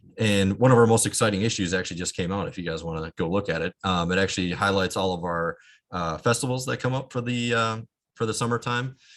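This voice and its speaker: A man talks at a very fast pace in a fairly low pitch. His pitch varies in an ordinary way. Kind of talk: online presentation.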